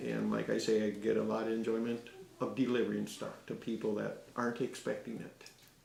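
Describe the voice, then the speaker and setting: A fairly quick pace amid audible room echo and noticeable background noise. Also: man. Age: 60s. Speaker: gardener. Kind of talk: casual interview. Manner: halting.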